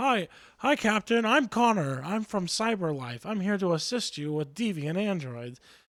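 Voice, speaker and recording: A put-on character voice carries the speech at a moderate pace. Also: man, high pitch for a man. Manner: stiff, robotic, polite.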